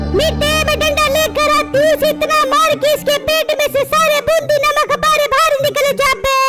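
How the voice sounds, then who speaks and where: A woman's cartoonish character voice, extremely high in pitch and very even in loudness, at a moderate pace over clear music. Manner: dramatic, wailing.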